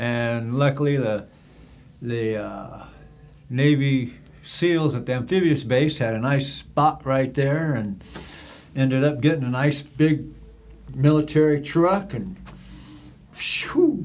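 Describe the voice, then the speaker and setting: A man talks at a very slow pace, leaving long, frequent pauses. His voice is fairly high for a man, with ordinary pitch variation and audible echo from the room. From US West, San Diego. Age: 70s. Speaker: former prisoner for cannabis charges. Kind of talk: casual chat.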